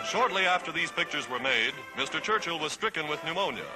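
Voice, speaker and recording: Music plays behind a man who speaks at a very fast pace. His pitch varies in an ordinary way. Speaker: newsreel narrator. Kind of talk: 1940s wartime newsreel narration.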